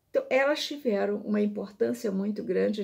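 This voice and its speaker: A woman's medium-pitched voice carries a dark, mellow tone and ordinary pitch variation. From Minas Gerais, Brazil. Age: 70s. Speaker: visual artist. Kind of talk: personal storytelling.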